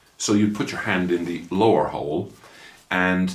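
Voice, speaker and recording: There is audible room echo around this man's voice. He has an Irish accent and a very deep, low pitch. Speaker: motorcycle vlogger. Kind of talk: casual product review vlog.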